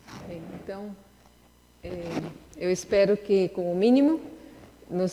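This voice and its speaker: Through noticeable background noise, a woman talks at a fairly slow pace and a medium pitch. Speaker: lecturer in a religious course. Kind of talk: lecture. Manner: halting.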